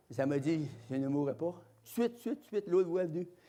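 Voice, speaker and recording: A man with a Quebec accent talks fairly quickly, his dark, mellow tone carried by lively intonation. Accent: Québécois French. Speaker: evangelist preacher. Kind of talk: sermon testimony. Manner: loud; animated.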